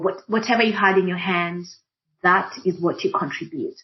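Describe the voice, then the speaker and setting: A woman with an East African accent speaks at a medium pitch. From Kenya. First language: Swahili. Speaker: diversity and inclusion practitioner. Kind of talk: panel discussion.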